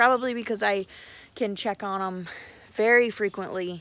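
Here a woman speaks at a moderate pace. Her pitch varies in an ordinary way. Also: dry sound with no echo. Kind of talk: casual vlog chat. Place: garden. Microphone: phone near.

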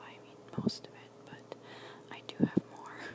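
Over loud background noise, a woman speaks at a fairly slow pace in a dry recording with no echo. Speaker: ASMR creator. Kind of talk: ASMR show and tell, casual talk to camera. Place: home room. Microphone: phone near.

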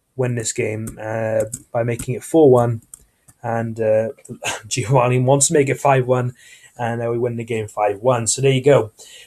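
A man's voice with a dark, mellow tone. It comes across as somewhat breathy. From Turkish heritage. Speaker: gaming YouTuber. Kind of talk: gameplay commentary. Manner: casual, hesitant with fillers.

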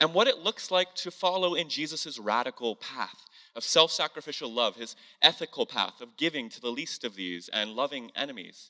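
A man speaks at a moderate pace in a bright, sharp tone against a quiet background. His loudness swings widely. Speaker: church host. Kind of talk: sermon-style introduction. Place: church. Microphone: handheld.

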